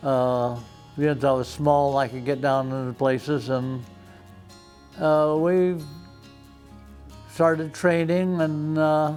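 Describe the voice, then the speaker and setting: Speaking with an American accent over music in the background, a man with a fairly high pitch talks at a very slow pace, his intonation fairly even and his pauses long and frequent. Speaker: retired fire chief. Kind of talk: oral history interview answer.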